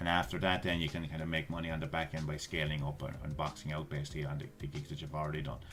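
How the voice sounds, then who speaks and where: Very fast speech from a man with an Irish accent and a very deep, low voice, music in the background. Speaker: YouTuber giving online money-making tips. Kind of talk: screen-share tutorial. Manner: casual, with frequent fillers and repetitions.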